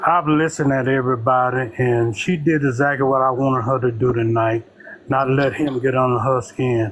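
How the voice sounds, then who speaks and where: The speech comes at a moderate pace with fairly even intonation and very even loudness, over noticeable background noise. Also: man, medium pitch for a man. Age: 70s. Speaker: caller. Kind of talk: call-in political commentary.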